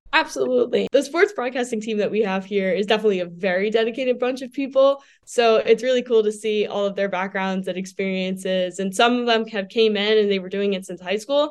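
Over a quiet background, a woman talks at a very fast pace with hardly any pauses, her fairly high voice showing ordinary pitch variation. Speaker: college student, sports broadcaster. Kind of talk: casual interview chat.

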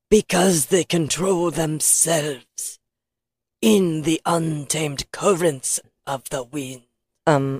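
This put-on character voice is raspy and sits at a middle pitch. It speaks at a very slow pace in a solemn tone.

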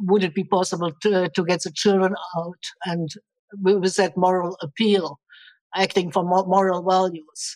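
This woman's medium-pitched voice stays monotone and flat, moving at a fairly slow pace. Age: 60s. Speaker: director of training. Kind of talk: podcast interview.

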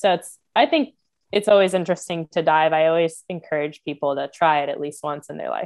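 A woman with an American accent and an ordinary speaking voice, fairly low in pitch, talking at a fairly quick pace with fairly even intonation. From Florida. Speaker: marine biologist. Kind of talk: casual interview.

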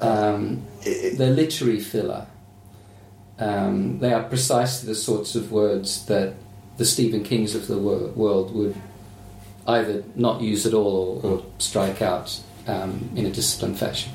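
Audible room echo surrounds a man with an Australian accent as he speaks fairly slowly in a fairly low pitch with ordinary pitch variation. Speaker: novelist. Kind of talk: casual chat.

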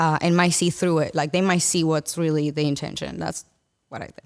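A woman speaks with a Spanish accent. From Dominican Republic. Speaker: podcast guest, former pageant contestant. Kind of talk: casual chat.

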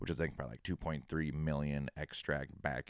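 In an American accent, a man speaks with a very deep, low pitch and vocal fry. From Minnesota. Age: 30s. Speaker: podcast co-host, hot sauce maker. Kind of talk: casual chat.

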